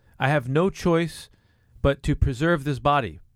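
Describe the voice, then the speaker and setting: In an ordinary speaking voice, a man talks at a fairly high pitch with ordinary pitch variation, the sound dry and close with no echo. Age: 50s. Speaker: juice bar founder. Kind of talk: casual chat.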